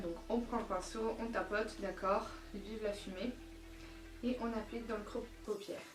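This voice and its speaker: Over music in the background, a woman with a fairly high voice talks at a moderate pace in a room with audible echo. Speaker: beauty vlogger. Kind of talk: tutorial. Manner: casual, many filler euh.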